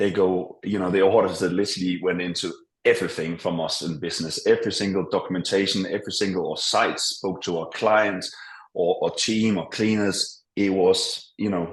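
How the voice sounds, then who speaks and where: With a Danish accent, a man speaks at a moderate pace. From Denmark. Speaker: business owner. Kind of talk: interview. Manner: hesitant, many fillers.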